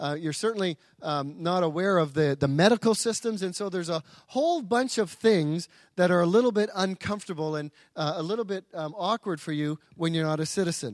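An American-accented man speaks at a fairly quick pace with a high pitch and ordinary pitch variation. The sound is dry and close, with no echo. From outside US and Britain. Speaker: pastor. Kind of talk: sermon. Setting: church. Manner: halting.

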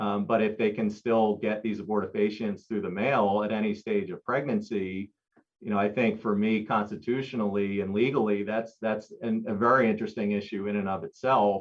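This man speaks with an American accent at a fairly low pitch. His intonation is monotone and flat. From US, Philadelphia. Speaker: executive director of a pro-life organization. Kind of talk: interview. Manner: halting, frequent repetitions and fillers.

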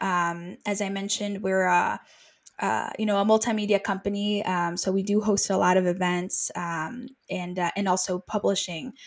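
A woman talks at a fairly slow pace in a normal speaking voice. The recording is very clean, with a silent background. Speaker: project manager and author concierge. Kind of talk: interview.

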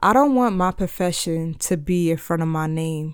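A woman speaks at a fairly low pitch in a very clean recording with a silent background. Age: 30s. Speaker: podcast host. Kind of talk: casual monologue.

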